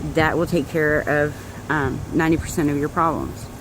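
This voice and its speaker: Over noticeable background noise, a woman with a very deep, low pitch speaks at a moderate pace in a monotone, flat delivery. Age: 30s. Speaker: direct sales distributor. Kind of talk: personal testimony vlog. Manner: casual, hesitant with many fillers.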